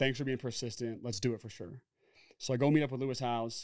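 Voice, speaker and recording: This is a very clean recording with a silent background. A man speaks at medium pitch in a monotone, flat way. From Oregon, US. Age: 30s. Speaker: former football player and entrepreneur. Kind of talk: casual interview.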